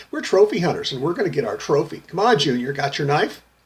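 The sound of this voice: A man rattles off words at a very fast pace in a whiny, put-on character voice, his pitch high and his intonation lively.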